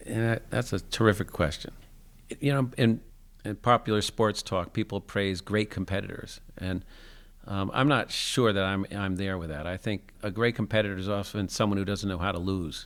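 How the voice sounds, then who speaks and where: An unremarkable speaking voice belongs to a man with an American accent and a fairly low pitch. He talks at a moderate pace with ordinary pitch variation in a very clean recording over a silent background. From US Northeast (New Jersey). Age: 60s. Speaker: adaptive sports program founder. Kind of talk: interview conversation. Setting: school gym.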